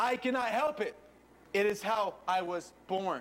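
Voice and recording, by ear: Putting on a robotic character voice, a man speaks at a moderate pace in a high pitch.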